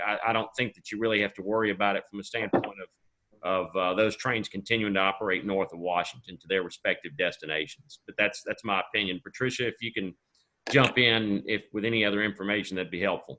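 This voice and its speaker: A man with a Southern US accent, fairly low pitch, fairly even intonation, hardly any pauses and big swings in loudness. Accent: Southern drawl. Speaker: rail company official. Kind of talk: webinar panel answer.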